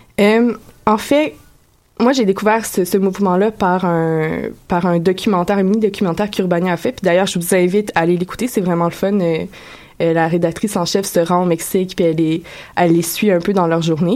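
A woman with a plain, everyday voice talks at a fairly quick pace, at medium pitch, with ordinary pitch variation. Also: very even loudness. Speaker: radio columnist. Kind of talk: radio segment on community station.

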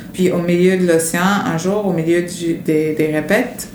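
A woman's fairly low voice at a very slow pace, ordinary pitch variation, audible room echo and noticeable background noise. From United States. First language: English (speaking French). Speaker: circus artist. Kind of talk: interview testimony.

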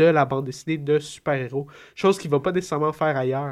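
The voice belongs to a man. It is fairly high in pitch. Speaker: comics commentator. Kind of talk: casual chat. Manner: halting.

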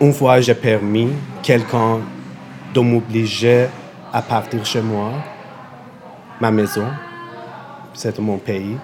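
Against noticeable background noise, a man talks at a very slow pace in a monotone, flat delivery broken by long, frequent pauses. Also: medium pitch for a man. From Iran. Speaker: refugee, LGBTQ activist. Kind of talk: testimony. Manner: halting.

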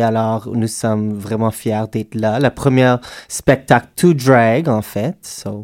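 In an English accent, a man speaks at a medium pitch with fairly even intonation, in a dry, close sound with no echo and a very clean recording over a silent background. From Alberta, western Canada. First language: English (speaking French). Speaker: drag performer. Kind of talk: casual interview. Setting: radio studio.

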